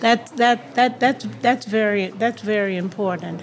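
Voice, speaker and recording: Noticeable background noise sits behind a woman with an American accent. Her pitch is medium and varies in an ordinary way. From New York (Harlem), later Miami and Peekskill. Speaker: minister and housing nonprofit director. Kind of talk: radio interview. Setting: live broadcast from a hotel awards dinner.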